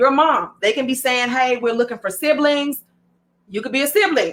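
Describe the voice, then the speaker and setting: A woman with a Southern US accent speaks at a high pitch in a bright, sharp tone with lively intonation. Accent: Southern US drawl. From American South. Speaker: online content host. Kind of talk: informal, conversational. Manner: casual, chatty.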